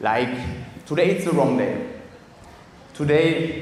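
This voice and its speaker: In a room with audible echo and noticeable background noise, a man with a German accent speaks at a fairly slow pace and a fairly high pitch. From Germany. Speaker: speaker at networking event. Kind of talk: motivational talk. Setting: stage with audience.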